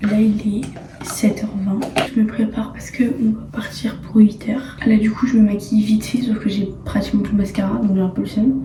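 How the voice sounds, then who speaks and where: A woman whispers in a room with audible echo and noticeable background noise. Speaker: vlogger. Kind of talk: vlog narration. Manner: whispering.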